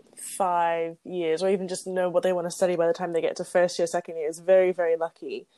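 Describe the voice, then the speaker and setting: A woman's dark, mellow voice at medium pitch with a British accent, fairly quick, on a very clean recording with a silent background. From England. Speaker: podcast co-host. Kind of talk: casual chat between friends.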